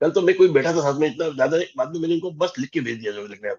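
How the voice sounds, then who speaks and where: This is a man speaking. His pitch is high. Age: 60s. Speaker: life coach. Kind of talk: group coaching session on video call, Hindi-English mix.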